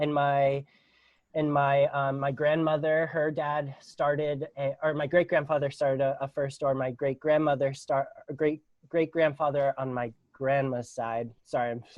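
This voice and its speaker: Speaking in a Pittsburgh accent, a man with a fairly high pitch goes at a fairly slow pace in a monotone, flat intonation. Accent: American, Pittsburgh. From Pittsburgh, Pennsylvania, US. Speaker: non-profit founder. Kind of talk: podcast interview. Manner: halting, many fillers.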